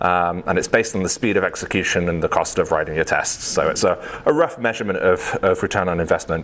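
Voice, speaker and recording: A man with a British accent at a very fast pace, over noticeable background noise. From UK. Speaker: software engineer, conference speaker. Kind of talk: tech talk. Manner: many fillers (um, uh).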